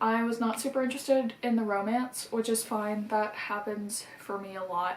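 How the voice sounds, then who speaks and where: A woman's fairly high voice with hardly any pauses. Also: fairly even intonation. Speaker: book vlogger. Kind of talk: casual vlog monologue. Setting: outdoors. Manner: fast.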